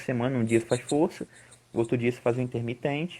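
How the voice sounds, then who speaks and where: Speaking at a very fast pace, a man has a medium pitch and a dark, mellow tone. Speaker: climbing coach and researcher. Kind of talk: live-stream interview.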